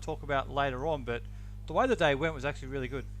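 In an Australian accent, a man talks at a very fast pace. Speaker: football podcast co-host and interviewer. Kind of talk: casual banter and interviewing.

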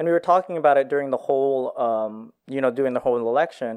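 A man speaks in a normal speaking voice at medium pitch, with ordinary pitch variation. The background is quiet. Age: 20s. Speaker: accountant. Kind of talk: casual chat.

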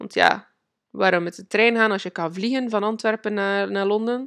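On a very clean recording with a silent background and a dry, close sound with no echo, a woman of medium pitch speaks with ordinary pitch variation. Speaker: podcast host and manifestation coach. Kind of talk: personal storytelling monologue. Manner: halting, many fillers; frequent laughter.

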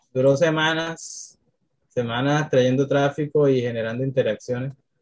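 This voice is somewhat breathy, with ordinary pitch variation. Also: man. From Colombia, Cartagena (Caribbean coast). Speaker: social media strategist. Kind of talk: interview.

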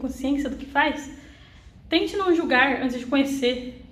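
A woman's high-pitched voice with ordinary pitch variation and audible room echo. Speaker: young apprentice in finance. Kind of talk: personal testimony.

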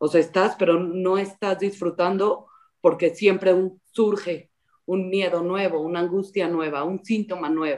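Her pace is fairly slow. The woman's intonation is monotone and flat. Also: medium pitch for a woman. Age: 30s. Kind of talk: interview.

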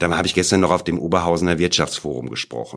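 Very fast and very deep, a man's low-pitched voice rushes along. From Sauerland, western Germany. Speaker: entrepreneur and university professor. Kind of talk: interview.

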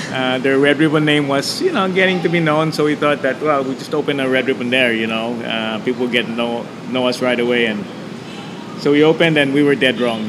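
Against noticeable background noise and audible room echo, a man talks at a fairly quick pace in a medium pitch with ordinary pitch variation. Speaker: entrepreneur. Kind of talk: interview. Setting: restaurant.

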